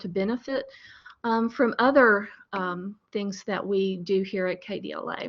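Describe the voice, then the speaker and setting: This is a woman's voice. She is soft-spoken. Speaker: librarian. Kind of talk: webinar presentation. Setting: webinar. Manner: hesitant with fillers.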